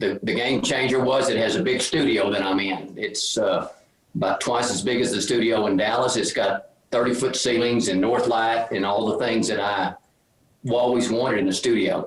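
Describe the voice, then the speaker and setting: With a Texan accent, a man speaks at medium pitch and a moderate pace, with ordinary pitch variation and very even loudness. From Texas, Lubbock. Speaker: painter. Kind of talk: casual chat.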